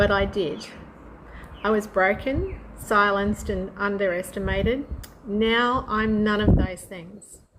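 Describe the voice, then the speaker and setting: Over noticeable background noise, a woman at medium pitch talks at a fairly slow pace with fairly even intonation. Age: 60s. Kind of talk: personal story told to camera.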